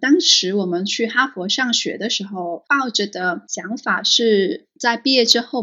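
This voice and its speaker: A woman with a fairly high pitch and ordinary pitch variation has a plain, everyday voice. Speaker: school founder. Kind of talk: interview.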